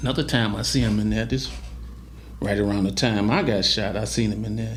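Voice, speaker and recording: Room echo is audible as the words arrive at a medium tempo. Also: man. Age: 60s. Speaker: former prisoner telling his life story. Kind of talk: interview storytelling. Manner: animated.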